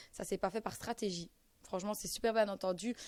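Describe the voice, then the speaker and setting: A woman with a fairly high voice is heard in a very clean recording with a silent background. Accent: strong Belgian. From Belgium. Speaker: reality TV contestant. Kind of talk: interview answer.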